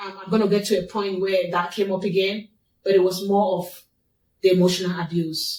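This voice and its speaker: A woman speaks with a non-native accent. Her intonation is monotone and flat. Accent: foreign. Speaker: abuse survivor. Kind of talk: testimony.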